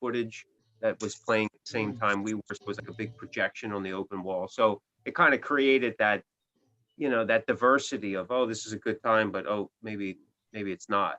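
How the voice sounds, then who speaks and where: In an American accent, a man speaks at medium pitch with a bright, sharp tone and fairly even intonation, in a dry, close recording with no echo. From US East Coast, Philadelphia. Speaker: rock musician. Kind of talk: casual interview chat. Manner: halting, many fillers.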